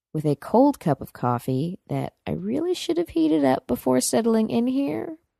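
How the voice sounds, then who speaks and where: In a dry, close sound with no echo, a woman speaks fairly slowly with a fairly low pitch and a dark, mellow tone, on a very clean recording with a silent background. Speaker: blogger / vlogger. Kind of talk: late night Q&A monologue. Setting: lying on couch at home, dark. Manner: mellow, toned down.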